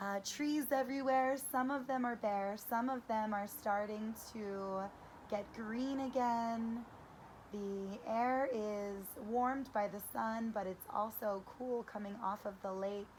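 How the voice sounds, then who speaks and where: A woman at a very slow pace with fairly even intonation. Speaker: yoga instructor. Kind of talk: guided yoga class. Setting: outdoors. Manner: projecting loudly.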